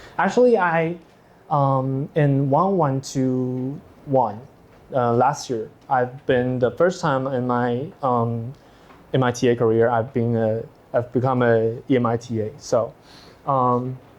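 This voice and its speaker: A man with a Taiwanese accent, medium pitch, ordinary pitch variation and a very slow pace. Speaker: teaching assistant. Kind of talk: lecture. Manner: halting.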